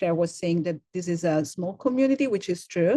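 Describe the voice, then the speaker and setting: With an Italian accent, a woman talks at a moderate pace in a fairly low pitch. Her tone is dark and mellow, and the sound is dry and close with no echo. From Italy. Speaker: university program director. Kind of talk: welcome presentation. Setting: video call. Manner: hesitant, many fillers and repetitions.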